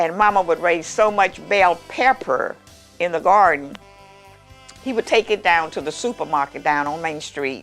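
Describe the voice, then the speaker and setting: With music in the background, a woman with an American accent speaks at a fairly low pitch and moderate pace, her intonation lively. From Mississippi, US South. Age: 80s+. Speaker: master baker. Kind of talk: interview answer.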